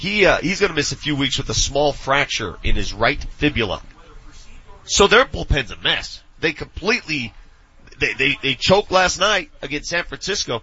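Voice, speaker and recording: In an ordinary speaking voice, a man talks at a moderate pace with lively intonation and a fairly high pitch. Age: 40s. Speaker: sports radio host. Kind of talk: casual chat. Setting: live broadcast from a training facility.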